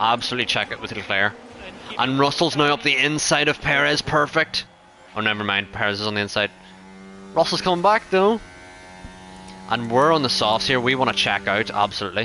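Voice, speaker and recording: Amid noticeable background noise, a man with an Irish accent speaks at a fairly quick pace and medium pitch, with very wide pitch swings and long, frequent pauses. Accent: Irish accent, recognized by viewers. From Ireland. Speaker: gaming streamer. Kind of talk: live gameplay commentary. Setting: live stream. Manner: casual, conversational.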